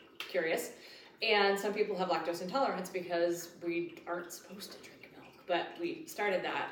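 A woman speaks at a moderate pace with fairly even intonation and medium pitch. Noticeable background noise runs through the clip. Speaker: podcast co-host with a doctorate. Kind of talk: casual chat.

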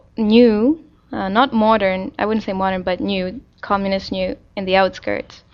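Speaking at a fairly slow pace, a woman with a medium pitch talks in a Czech accent. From Czech Republic, Prague. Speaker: interviewee. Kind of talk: casual interview. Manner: hesitant, frequent fillers.

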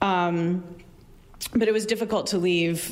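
A woman's voice in an American accent with audible room echo. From Arizona. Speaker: librarian and community organizer. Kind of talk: storytelling performance. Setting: stage with audience. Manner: halting, many fillers.

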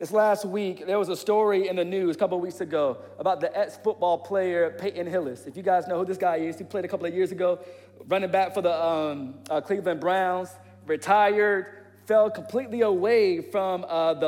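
Talking at a fairly quick pace, a man with an American accent has a high pitch and fairly even intonation. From US South, Portsmouth, Virginia. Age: 30s. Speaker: pastor. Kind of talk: sermon. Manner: casual, conversational.

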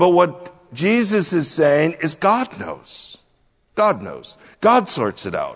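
Pitched high for a man, this male speaker moves very slowly with lively intonation. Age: 60s. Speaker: pastor. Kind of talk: sermon.

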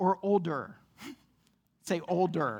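A woman's voice carries vocal fry as she talks at a fairly slow pace. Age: 30s. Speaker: pastor. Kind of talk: sermon. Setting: church.

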